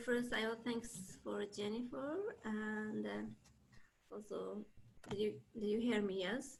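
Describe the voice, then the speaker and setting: Very slowly, a woman talks with a non-native accent. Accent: non-native, limited English. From East Turkestan (Xinjiang), China. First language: Uyghur. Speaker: camp survivor. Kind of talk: testimony. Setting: video call. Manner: halting.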